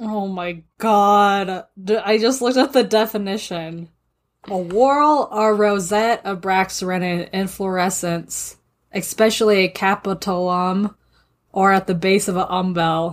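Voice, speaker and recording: With an American accent and an ordinary speaking voice, a woman talks fairly slowly at a medium pitch with ordinary pitch variation on a very clean recording with a silent background. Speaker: podcast co-host. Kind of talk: reading aloud; casual chat.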